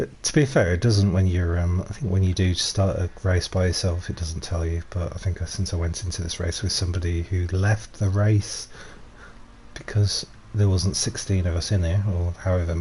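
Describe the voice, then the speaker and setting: Quiet and very deep in pitch, a man speaks with a Yorkshire accent at a moderate pace with ordinary pitch variation. Noticeable background noise is present. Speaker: gaming streamer. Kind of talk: live gameplay commentary. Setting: live stream. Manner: casual, rambling with fillers. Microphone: stream volume a bit quiet.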